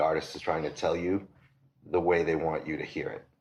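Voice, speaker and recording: In a Boston accent, a man speaks with a very deep, low pitch and monotone, flat intonation. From Massachusetts, south of Boston. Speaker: record store owner. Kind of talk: casual interview.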